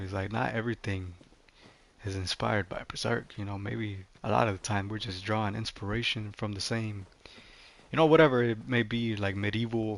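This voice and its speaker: This man speaks with a non-native accent at a moderate pace. His pitch is fairly low. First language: not English. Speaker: gaming streamer. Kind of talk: casual livestream commentary. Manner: casual, many fillers.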